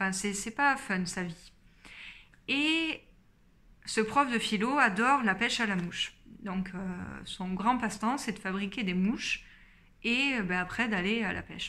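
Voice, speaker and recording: A woman speaks at a fairly slow pace with a fairly high pitch. Her tone is bright and sharp, broken by long, frequent pauses. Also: ordinary pitch variation. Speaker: book YouTuber. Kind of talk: casual book review vlog. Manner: many hesitations (euh). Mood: calm, engaged. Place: home room. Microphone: phone near.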